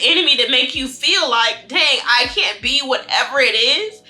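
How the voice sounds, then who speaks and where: A woman's raised, projected voice rings out at a high pitch with lively intonation and an animated tone. She keeps a moderate pace over noticeable background noise. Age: 20s. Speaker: lifestyle vlogger. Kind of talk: casual monologue. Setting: home, eating on camera.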